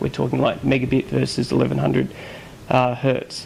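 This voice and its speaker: Amid noticeable background noise, a man with an Australian accent talks at a fairly quick pace. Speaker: video blogger reporting on a tech conference. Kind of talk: casual chat.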